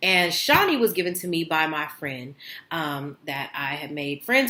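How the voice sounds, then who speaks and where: A woman's very deep, low voice with an animated tone and lively intonation at a moderate pace, over noticeable background noise. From US West Coast, East Oakland, California. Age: 30s. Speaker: vlogger. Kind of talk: casual chat.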